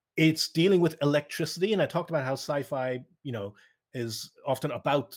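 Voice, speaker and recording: With a Cork accent, a man talks at a very fast pace and a fairly high pitch on a very clean recording with a silent background. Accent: Irish, Cork. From Ireland, Cork south coast. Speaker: speaker. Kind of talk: lecture.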